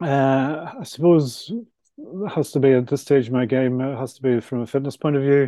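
At a moderate pace, a man speaks at medium pitch in a dark, mellow tone. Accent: Belfast. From Northern Ireland, Belfast. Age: 60s. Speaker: author and property developer. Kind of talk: casual interview.

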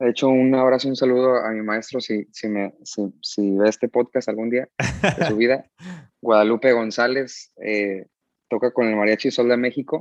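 Dry and close with no echo, a man speaks at a moderate pace in a medium pitch. His is a plain, everyday voice with fairly even intonation. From US, San Diego, California. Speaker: musician. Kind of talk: casual chat.

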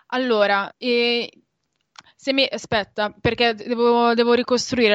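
Against a quiet background, a woman speaks at a fairly slow pace and a fairly high pitch, with a dry, close sound and no echo. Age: 20s. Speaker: graduate student and community volunteer. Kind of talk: radio interview. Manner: hesitant, many fillers.

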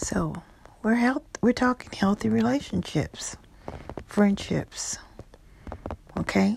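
At a very slow pace with long, frequent pauses, the voice has a soothing, warm tone against noticeable background noise. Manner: slow, soothing and coaxing, with short imperative cues and warm, cheerful encouragement; warm and playful, laughing often and slipping into Spanish endearments.

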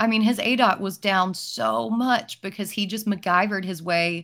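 The woman has a plain, everyday voice, pitched in the medium range, with ordinary pitch variation. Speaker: fantasy football podcast host. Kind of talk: casual chat, live draft.

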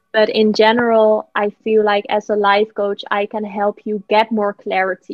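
A woman with a Dutch accent in a monotone, flat delivery. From Netherlands. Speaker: life coach. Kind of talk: interview. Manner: hesitant, many fillers.

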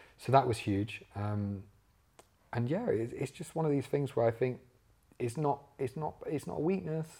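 Using long, frequent pauses, a man with an East Midlands accent speaks at a moderate pace and a medium pitch, his dark, mellow tone somewhat breathy and his intonation lively. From English Midlands, Leicester. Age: 20s. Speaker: social media entrepreneur. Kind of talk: casual interview.

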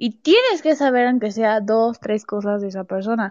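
With lively intonation, the woman's speech unfolds at a fairly slow pace. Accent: Mexican. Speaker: podcast host. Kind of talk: casual chat. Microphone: new recording app.

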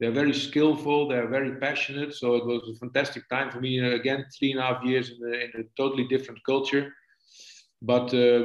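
With a Dutch accent, the speaker talks at a moderate pace in a monotone, flat intonation. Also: man. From Netherlands. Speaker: football coach. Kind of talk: casual interview. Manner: halting, hesitant.

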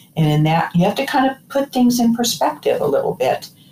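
Noticeable background noise accompanies a woman whose pitch swings very widely. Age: 60s. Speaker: cancer survivor. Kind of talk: casual interview conversation. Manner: animated, laughs often.

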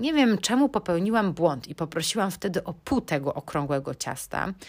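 Heard in a very clean recording with a silent background, a woman talks at a moderate pace and medium pitch. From Poland, Bydgoszcz. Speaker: podcast host. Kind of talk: casual solo podcast monologue.

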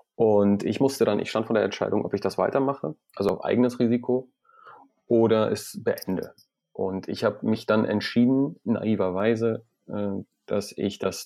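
Fairly low-pitched man with a dark, mellow tone, fairly even intonation and a moderate pace, against a quiet background. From Iran. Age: 30s. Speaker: entrepreneur. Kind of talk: interview.

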